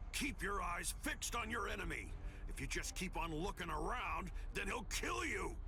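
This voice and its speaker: Against clear background noise, a man performs a put-on character voice. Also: moderate pace. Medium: game stream. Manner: gruff, menacing.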